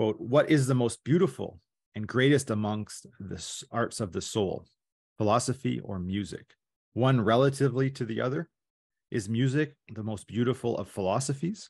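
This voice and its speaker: Against a quiet background, a man talks at a moderate pace with ordinary pitch variation. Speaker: presenter. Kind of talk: academic paper presentation. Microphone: video call.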